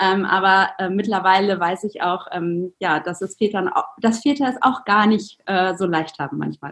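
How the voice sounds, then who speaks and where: A woman has an unremarkable speaking voice, a medium pitch and ordinary pitch variation. She speaks with hardly any pauses. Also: moderate pace. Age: 30s. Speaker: entrepreneur and mother. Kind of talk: podcast interview.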